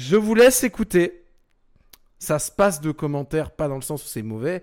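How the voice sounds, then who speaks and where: In a very clean recording with a silent background, a man speaks at a moderate pace and a fairly high pitch, his tone animated and his pitch swinging very widely. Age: 20s. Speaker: radio host. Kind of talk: radio show presenting.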